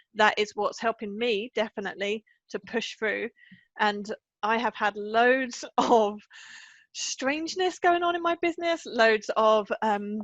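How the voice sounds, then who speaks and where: Lively intonation marks this fairly slow voice with an English accent. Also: woman, fairly high pitch for a woman. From England. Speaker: confidence coach. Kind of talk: podcast interview.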